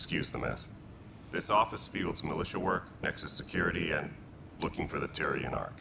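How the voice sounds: A man's put-on character voice, extremely low in pitch, with vocal fry, lively intonation, a moderate pace and clear background noise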